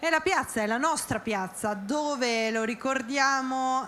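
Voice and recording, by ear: Speaking at a fairly slow pace, a woman has a fairly bright tone and ordinary pitch variation.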